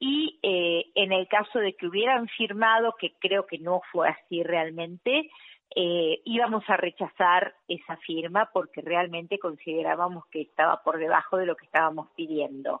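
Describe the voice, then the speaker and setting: An ordinary speaking voice moves at a fairly slow pace with hardly any pauses. Its pitch variation is ordinary. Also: woman, fairly low pitch for a woman. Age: 50s. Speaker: health worker. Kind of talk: phone interview.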